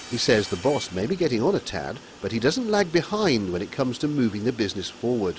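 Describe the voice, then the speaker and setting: Amid noticeable background noise, a man with a medium pitch talks at a very fast pace, making very wide pitch swings. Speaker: TV news reporter. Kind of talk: TV news report.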